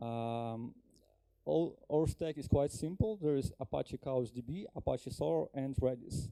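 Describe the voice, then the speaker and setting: In a Ukrainian accent, a man speaks at a fairly slow pace in a dry, close sound with no echo. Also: medium pitch for a man, lively intonation. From Ukraine. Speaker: software engineer, conference speaker. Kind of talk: conference talk. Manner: halting, many fillers.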